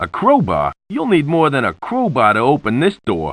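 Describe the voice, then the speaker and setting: Using a put-on character voice, a man speaks at a fairly high pitch and a moderate pace. The sound is dry and close, with no echo. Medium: video game. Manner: wisecracking.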